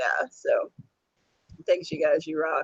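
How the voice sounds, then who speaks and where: This man uses a put-on character voice. It sounds raspy and croaky. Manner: warm, appreciative.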